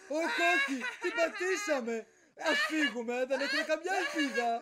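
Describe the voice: In a cartoonish character voice, a man speaks at an extremely high pitch with a bright, sharp tone and big pitch swings.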